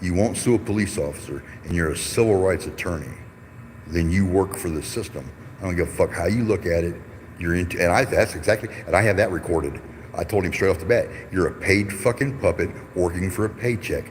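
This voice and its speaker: The speaker has an American accent and an animated tone, going at a fairly quick pace with ordinary pitch variation. Noticeable background noise can be heard. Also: man, very deep, low pitch for a man. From Detroit, US Midwest. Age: 50s. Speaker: YouTube livestreamer, activist. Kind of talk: casual live-stream talk. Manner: animated, heated ranting.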